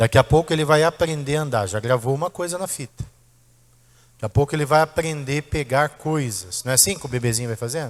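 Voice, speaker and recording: A man's fairly high voice, animated and very fast, with ordinary pitch variation and a dry, close sound free of echo. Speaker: pastor. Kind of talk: sermon. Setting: church.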